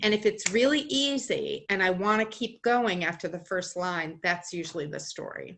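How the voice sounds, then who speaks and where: In an American accent, a woman talks in an unremarkable speaking voice at medium pitch, with lively intonation, a moderate pace and hardly any pauses. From Boston area, US. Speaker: storyteller and writer. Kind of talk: interview.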